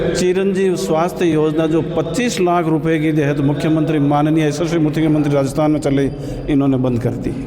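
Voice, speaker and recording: A man speaks at a fairly high pitch. Noticeable background noise and audible room echo fill the recording. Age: 70s. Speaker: party worker. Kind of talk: street interview.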